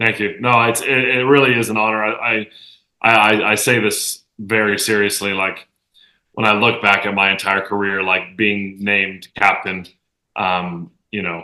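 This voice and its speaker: Loud and fairly low, a man's voice has a bright, sharp tone and fairly even intonation. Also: moderate pace. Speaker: professional soccer player. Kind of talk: casual chat.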